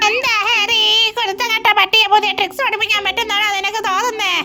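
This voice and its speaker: A put-on character voice, female-sounding and extremely high-pitched, with monotone, flat intonation at a moderate pace. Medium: fan dub.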